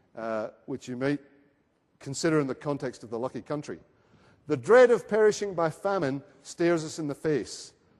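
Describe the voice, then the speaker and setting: A man in a Scottish accent, fairly high-pitched and fairly quick, with lively intonation against a quiet background. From Scotland. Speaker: research centre speaker at a conference. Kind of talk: conference presentation. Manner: hesitant, with fillers.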